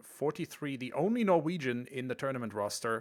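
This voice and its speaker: A man with a German accent, medium-pitched, with ordinary pitch variation, on a very clean recording against a silent background. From Germany. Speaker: esports commentator. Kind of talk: live commentary.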